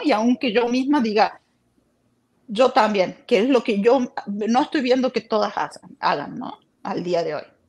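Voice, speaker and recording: Moving at a fairly slow pace, this is an ordinary speaking voice. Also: woman. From Argentina, Córdoba. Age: 40s. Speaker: former cult member sharing her story. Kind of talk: interview testimony. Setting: live stream.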